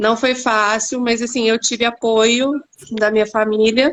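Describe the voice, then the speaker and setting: A woman speaks at a fairly slow pace with a São Paulo interior accent. Her pitch is fairly high, and her intonation is monotone and flat. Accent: caipira (rhotic r of São Paulo countryside). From interior of São Paulo state. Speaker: actress, former architect. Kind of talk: live stream panel interview.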